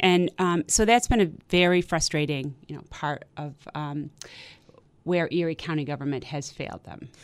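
With an American accent, a woman talks at a moderate pace. Her pitch is very deep and low. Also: ordinary pitch variation. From western New York, Amherst near Buffalo. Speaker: political candidate, former county legislator. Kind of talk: radio interview. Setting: radio studio.

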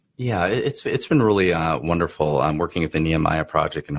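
A man's very deep, low voice with vocal fry and lively intonation, dry and close with no echo. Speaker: business owner. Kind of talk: interview. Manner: halting.

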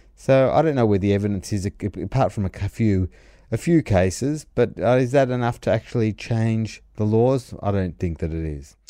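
With an Australian accent, a man speaks at a moderate pace in a dark, mellow tone with a fairly low pitch and lively intonation, in a very clean recording with a silent background. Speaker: commentator. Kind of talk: opinionated rant about banking rules, delivered as a commentary segment. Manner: earnest, argumentative, talking steadily with frequent hedges and self-corrections; disapproving, making a case against regulation with mounting insistence.

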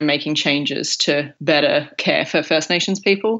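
Her pitch is very deep and low for a woman. She speaks in an Australian accent. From Broken Hill, far west New South Wales, Australia. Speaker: junior doctor and PhD student. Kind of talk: interview.

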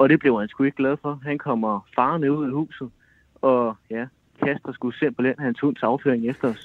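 A man's unremarkable speaking voice, medium in pitch, with fairly even intonation and a moderate pace. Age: 20s. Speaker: caller. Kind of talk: casual chat.

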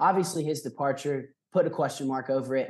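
With an American accent, a man speaks fairly quickly in a fairly high voice, his pitch varying in an ordinary way. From US South. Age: 20s. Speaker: student intern. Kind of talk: casual chat. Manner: halting.

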